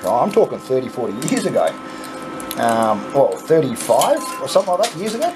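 Noticeable background noise sits behind a man with an Australian accent. He talks at a fairly quick pace. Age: 40s. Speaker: YouTuber playing coin pusher game. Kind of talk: casual gameplay commentary; storytelling. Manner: animated. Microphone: phone near.

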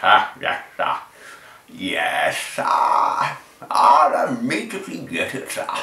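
Using a raspy, put-on character voice, a man speaks at a very slow pace with audible echo.

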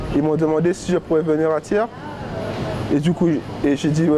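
Noticeable background noise accompanies a man who talks at a moderate pace with a fairly high pitch. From Saint-Martin (Caribbean). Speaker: apprentice butcher. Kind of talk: documentary interview. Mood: relaxed, positive. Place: shop. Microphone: lapel.

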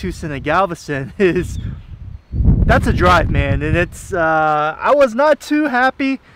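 A man speaks at a fairly slow pace, his voice dry with no echo over noticeable background noise. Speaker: fishing vlogger. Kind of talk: casual vlog chat. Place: street.

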